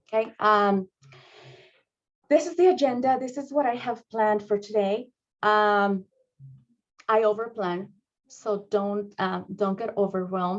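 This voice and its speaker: Speaking in a Spanish accent, a woman uses a medium pitch and fairly even intonation. Her pace is fairly slow. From Mexico. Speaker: school district administrator. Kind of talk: training presentation. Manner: halting, many fillers.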